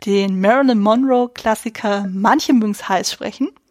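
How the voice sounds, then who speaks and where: Heard in a dry, close sound with no echo, a woman with a normal speaking voice talks at a fairly high pitch and moderate pace with ordinary pitch variation. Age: 30s. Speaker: film podcast host. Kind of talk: casual chat.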